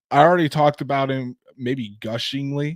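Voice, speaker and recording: In a dry, close recording with no echo, a man talks at a moderate pace with fairly even intonation and a Northern Indiana accent. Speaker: sports podcast host. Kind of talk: casual sports podcast chat. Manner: repeats words often, halting starts.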